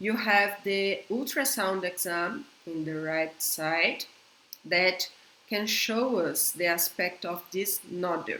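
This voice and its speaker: A very slow pace with ordinary pitch variation, in a Brazilian Portuguese accent. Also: woman, medium pitch for a woman. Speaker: veterinarian. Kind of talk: conference lecture. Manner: halting.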